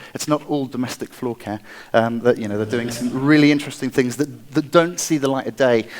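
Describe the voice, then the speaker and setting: With an English accent, a man speaks fairly quickly at a medium pitch and with fairly even intonation. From England, Wiltshire. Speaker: product designer and inventor. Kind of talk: conference talk.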